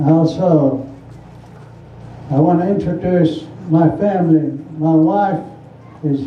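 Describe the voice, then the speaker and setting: A fairly high-pitched man with fairly even intonation, amid audible room echo and noticeable background noise. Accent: Southwestern US. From Navajo Nation, US Southwest. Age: 90s. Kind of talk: public speech at community forum.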